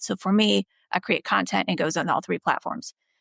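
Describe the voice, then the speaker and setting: The speech comes at a fairly quick pace with vocal fry, recorded very cleanly against a silent background with a dry, close sound and no echo. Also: woman. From Bosnia. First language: not English. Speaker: dermatologist. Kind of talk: podcast interview.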